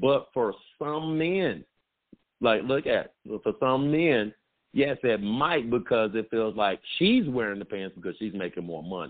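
A loud man with an American accent, medium pitch, very wide pitch swings and a fairly slow pace. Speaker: radio host. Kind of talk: casual banter podcast chat. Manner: loud, talkative.

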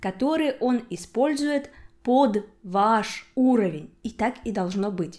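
Recorded very cleanly against a silent background, the speech moves at a very slow pace with lively intonation. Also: woman. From Udmurtia, Russia. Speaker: podcast host, Russian language teacher. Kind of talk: language-learning podcast monologue.

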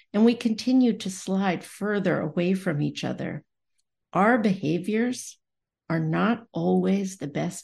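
This woman's voice has vocal fry and a medium pitch with ordinary variation. She speaks at a fairly slow pace. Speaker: podcast host. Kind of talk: podcast conversation, moderated discussion.

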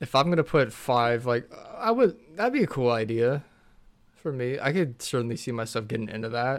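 A man talks in a plain, everyday voice at a medium pitch and moderate pace, with ordinary pitch variation. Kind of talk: casual chat.

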